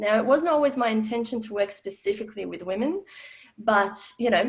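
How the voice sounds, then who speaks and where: A woman speaks with an Australian accent at a fairly high pitch. Her pace is fairly quick. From former Yugoslavia. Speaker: financial educator. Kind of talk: webinar talk. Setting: online webinar.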